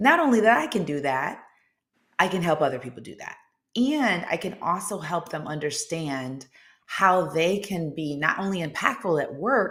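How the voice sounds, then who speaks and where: A woman with a fairly low pitch talks at a moderate pace in an animated tone. Her intonation is lively, and her loudness swings widely. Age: 50s. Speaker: confidence coach and former civil rights attorney. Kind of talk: interview. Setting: live video show.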